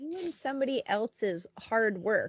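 With a plain, everyday voice, a woman talks at a fairly slow pace and with lively intonation. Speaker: podcast co-host. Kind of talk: casual chat, storytelling. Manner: casual, laughs a lot.

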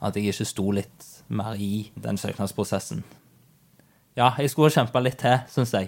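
On a very clean recording with a silent background, a man with a fairly low pitch and vocal fry speaks with long, frequent pauses. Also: ordinary pitch variation, moderate pace. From Norway. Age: 20s. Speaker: IT project manager. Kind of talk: interview.

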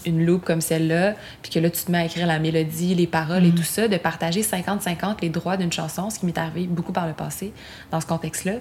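Fairly quick and somewhat breathy, a woman talks at a fairly low pitch. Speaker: singer-songwriter. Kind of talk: casual chat. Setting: home studio in Montreal.

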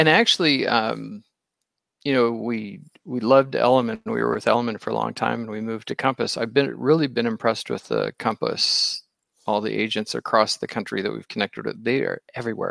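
The sound is close and dry, with no echo. A man is talking at a fairly quick pace. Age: middle-aged. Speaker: real estate agent and online show host. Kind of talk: casual chat. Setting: live online video stream.

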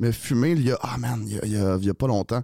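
Dark, mellow man's voice at a fairly quick pace on a very clean recording with a silent background. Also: dry, close sound with no echo. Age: 30s. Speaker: comedian. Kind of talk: casual chat.

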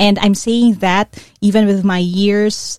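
Dry, close sound with no echo around a woman's dark, mellow tone. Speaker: career coach. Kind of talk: coaching podcast monologue. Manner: code-switching Taglish.

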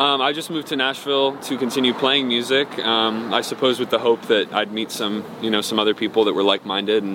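A man with an American accent and medium pitch talks at a very fast pace with hardly any pauses and fairly even intonation. Noticeable background noise is present. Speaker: musician. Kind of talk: casual interview.

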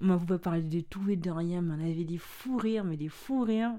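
A woman speaks at a fairly quick pace with ordinary pitch variation. Her tone is dark and mellow, and her pitch is fairly low. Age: 20s. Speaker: podcast guest, friend of the host. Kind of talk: casual chat. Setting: recorded in the host's bed.

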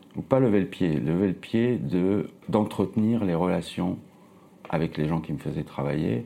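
With a dark, mellow tone touched by vocal fry, the voice keeps a moderate pace and lively intonation, broken by long, frequent pauses. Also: man, very deep, low pitch for a man. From Nice, southern France. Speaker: film poster designer. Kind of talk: casual interview.

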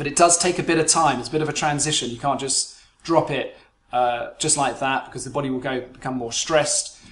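A man with a British accent speaks fairly quickly at a fairly high pitch, his intonation fairly even. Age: 40s. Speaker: business psychologist and performance coach. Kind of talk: solo podcast monologue.

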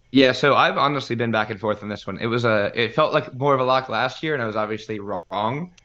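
A man with an American accent and a medium-pitched, bright, sharp voice speaks very fast with hardly any pauses and ordinary pitch variation. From Louisiana, raised partly in Alabama. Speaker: college football podcaster. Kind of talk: casual chat.

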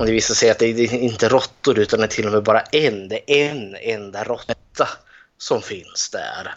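Medium in pitch, a man with a plain, everyday voice speaks at a moderate pace. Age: 30s. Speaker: podcast co-host. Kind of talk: casual chat.

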